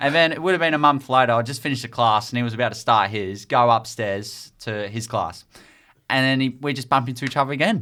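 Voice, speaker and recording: A bright, sharp tone comes at a very fast pace with ordinary pitch variation, on a very clean recording with a silent background. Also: man, medium pitch for a man. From Australia. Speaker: sports journalist. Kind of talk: casual chat. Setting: studio.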